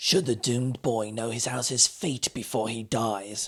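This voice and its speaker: At a moderate pace, a man uses a growling, put-on character voice at medium pitch. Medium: read story. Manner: furtive, hushed.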